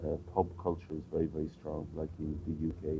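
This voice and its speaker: With music in the background, the speaker uses a western Irish accent at a moderate pace in a monotone, flat intonation. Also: man. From Ireland, County Clare. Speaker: interviewee. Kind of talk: casual interview. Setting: outdoors on a street. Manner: hesitant, many fillers.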